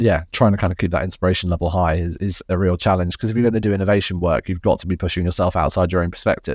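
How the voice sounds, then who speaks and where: This man's pitch is very deep and low, and he talks at a very fast pace. His intonation stays fairly even. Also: hardly any pauses. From England. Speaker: tech company CEO. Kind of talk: interview conversation.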